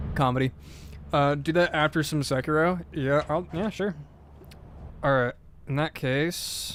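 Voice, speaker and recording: Fairly high in pitch, a man's voice moves at a fairly slow pace with long, frequent pauses and fairly even intonation. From United States. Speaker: video game streamer. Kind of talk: casual live stream chat. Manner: more alert, using everyday voice after scare.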